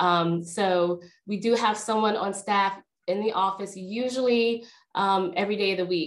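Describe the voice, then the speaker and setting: Her intonation fairly even, a woman delivers her words at a moderate pace. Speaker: workshop host. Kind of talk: webinar introduction. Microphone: video call.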